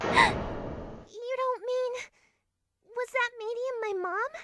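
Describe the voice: This put-on character voice sounds female, with an extremely high pitch. The delivery moves at a very slow pace.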